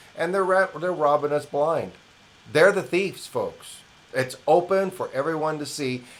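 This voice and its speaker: An American-accented man at a fairly slow pace, with noticeable background noise. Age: 60s. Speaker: independent news commentator. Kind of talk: opinion monologue. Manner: animated.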